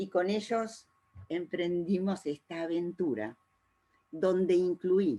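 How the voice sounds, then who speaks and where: A woman's dark, mellow tone unfolds at a very slow pace. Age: 70s. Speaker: art therapy trainer. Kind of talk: informational talk. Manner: frequent hesitations.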